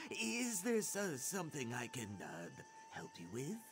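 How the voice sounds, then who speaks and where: Using a put-on character voice, a man speaks fairly slowly at a fairly high pitch over clear background noise. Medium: video game. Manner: hesitant, stammering.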